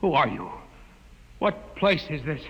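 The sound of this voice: Using a put-on character voice, a man talks fairly high for a man at a fairly slow pace, his fairly bright tone marked by big pitch swings.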